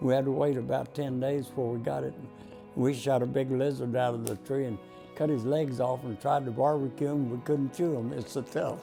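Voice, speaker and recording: A man with a Texan accent talks at a fairly quick pace in a medium pitch, his intonation fairly even, with music playing in the background. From Texas, Dallas. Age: 90s. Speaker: war veteran. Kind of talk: oral history interview. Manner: halting.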